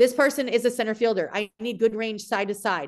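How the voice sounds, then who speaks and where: With an American accent and a normal speaking voice, a woman talks at a fairly quick pace and fairly high pitch with ordinary pitch variation against a quiet background. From US South, South Florida. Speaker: softball coach. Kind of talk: casual chat.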